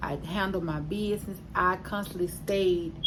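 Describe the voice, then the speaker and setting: A woman's fairly low voice at a moderate pace, fairly even in intonation, with audible room echo and noticeable background noise. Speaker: vlogger sharing weight loss surgery journey. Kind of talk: casual vlog update. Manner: hesitant with fillers.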